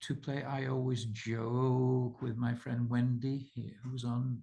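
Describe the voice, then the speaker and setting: A man talks at a very slow pace in a medium pitch, his intonation monotone and flat. His tone is dark and mellow and somewhat breathy. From Britain. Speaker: author and researcher hosting a subscriber call. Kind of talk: casual group video call.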